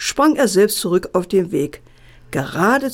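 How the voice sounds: A natural reading voice carries lively intonation.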